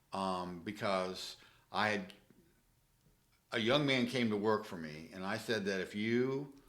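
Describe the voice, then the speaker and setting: Audible room echo around a man's speech, its pitch varying in an ordinary way. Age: 60s. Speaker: real estate investor. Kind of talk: casual interview. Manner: halting, many fillers.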